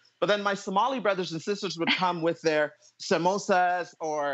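Against a quiet background, a man speaks at a high pitch with fairly even intonation. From Ottawa, Canada; Canada. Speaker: panelist. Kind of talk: casual chat. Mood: light, reminiscing. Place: home room. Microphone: earbuds.

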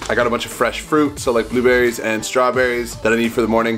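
A man speaks while music plays clearly behind him. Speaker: vlogger. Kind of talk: casual vlog chat. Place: home room. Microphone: phone near.

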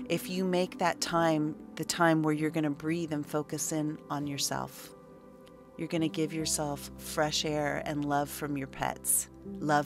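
Very deep, low-pitched woman's voice at a fairly slow pace, with music in the background. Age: 50s. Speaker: spiritual teacher. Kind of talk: casual chat.

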